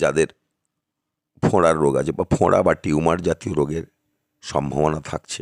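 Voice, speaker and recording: A man's very deep, low voice, monotone and flat, with a dry, close sound and no echo. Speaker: astrologer. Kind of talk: monthly horoscope talk to camera. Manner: halting, short phrases.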